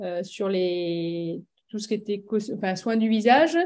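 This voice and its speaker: Her tone dark and mellow, a woman speaks at a medium pitch with ordinary pitch variation. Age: 40s. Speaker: executive assistant. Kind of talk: interview answer.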